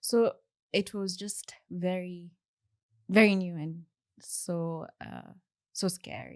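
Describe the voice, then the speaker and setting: On a very clean recording with a silent background, a woman with a Kenyan accent talks at a very slow pace in a medium pitch, with monotone, flat intonation, big swings in loudness and long, frequent pauses. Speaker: software engineer. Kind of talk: interview conversation. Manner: halting.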